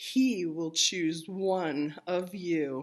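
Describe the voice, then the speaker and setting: Against a quiet background, a woman puts on a character voice with a fairly low pitch. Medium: read story.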